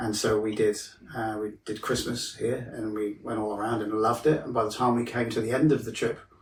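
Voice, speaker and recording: Noticeable background noise sits behind a man with a British accent who speaks in a monotone, flat intonation at medium pitch. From Wales. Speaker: mental health counsellor. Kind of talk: podcast interview. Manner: casual, hesitant with fillers.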